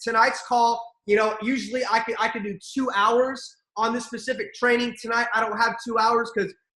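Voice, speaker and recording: A man with an extremely high pitch talks at a fairly quick pace in a raised, projected voice and an animated tone. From Armenian heritage. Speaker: network marketing leader. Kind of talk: motivational training call. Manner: fast.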